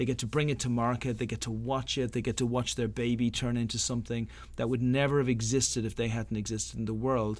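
Over a very clean recording with a silent background, a man speaks with an Irish accent at a very fast pace. His medium-pitched voice keeps a monotone, flat intonation. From Ireland. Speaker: startup accelerator founder. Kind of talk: interview.

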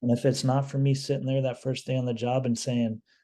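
Fairly quick, monotone, flat speech from a man at medium pitch, somewhat breathy and dark and mellow in tone. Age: 40s. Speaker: housing director at a homeless shelter. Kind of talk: casual chat.

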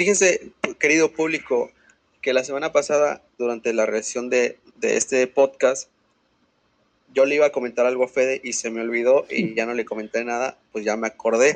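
A man speaks with a Mexican accent at a moderate pace. His pitch is medium, with ordinary pitch variation. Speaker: sports podcast co-host. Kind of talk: casual chat.

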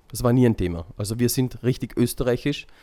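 Dark, mellow tone in a man's medium-pitched voice. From Vienna, Austria. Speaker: convert to Islam, community volunteer. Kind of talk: interview testimony.

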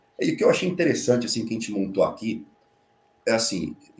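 This man has a medium pitch that swings very widely. Vocal fry runs through his voice. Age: 50s. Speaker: fintech technology executive. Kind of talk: casual chat.

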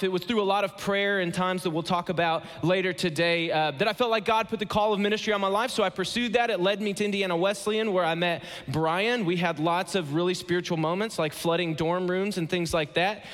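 A high-pitched man with an American accent, fairly even intonation, very even loudness and a fairly quick pace, over noticeable background noise. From Ohio, US Midwest. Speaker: guest pastor. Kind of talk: sermon. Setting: church stage with audience.

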